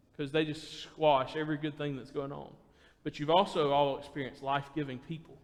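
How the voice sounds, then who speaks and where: A man talks at a moderate pace with audible room echo around him. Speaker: preacher. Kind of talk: sermon. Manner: naturally loud.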